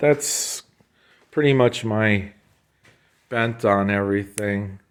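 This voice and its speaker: With an American accent, a man talks at a fairly slow pace. The recording is very clean, the background silent. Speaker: motorcycle restorer. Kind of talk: casual walkthrough tutorial. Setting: workshop shed. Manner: casual, hesitant with fillers.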